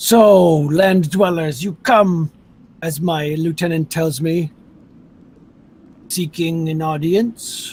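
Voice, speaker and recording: A put-on character voice talks at a very slow pace. Long, frequent pauses break up the speech. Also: man, high pitch for a man. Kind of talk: regal, formal.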